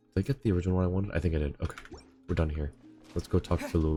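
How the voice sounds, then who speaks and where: Music plays in the background behind speech with ordinary pitch variation. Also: man. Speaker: streamer. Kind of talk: casual live-stream commentary while gaming.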